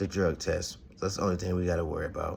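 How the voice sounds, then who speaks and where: The voice is somewhat breathy and stays monotone, with flat intonation throughout. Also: man. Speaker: boxing podcast host. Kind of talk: casual commentary monologue. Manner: halting, stuttering.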